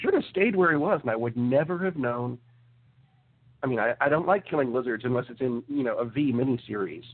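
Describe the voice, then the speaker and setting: Against noticeable background noise, a man with a medium pitch talks at a fairly quick pace with lively intonation. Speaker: movie podcast co-host. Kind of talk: casual chat. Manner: animated.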